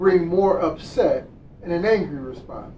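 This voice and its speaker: Over noticeable background noise, a man speaks fairly slowly in a high pitch for a man, with ordinary pitch variation. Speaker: minister giving a Sunday service talk. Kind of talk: sermon / spiritual lesson delivered to an online congregation. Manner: calm, warm, guiding a prayer and meditation.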